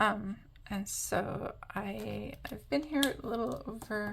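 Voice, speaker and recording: A woman speaks over noticeable background noise. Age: 40s. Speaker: craft YouTuber. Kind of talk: casual chat while colouring. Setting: home apartment, camera. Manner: hesitant, many fillers.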